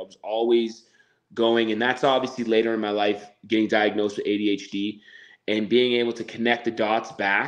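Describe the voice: Talking at a fairly quick pace, a man keeps a fairly low pitch with little pitch movement.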